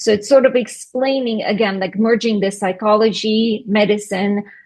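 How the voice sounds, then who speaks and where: Speaking at a moderate pace with a Russian accent, a woman keeps a medium pitch and fairly even intonation against a quiet background. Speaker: skincare business owner. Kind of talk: interview.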